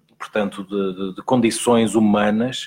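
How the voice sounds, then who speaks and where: This man's voice is fairly low and flat, with monotone intonation. He speaks at a fairly slow pace. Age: 30s. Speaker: TV reporter. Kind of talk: interview.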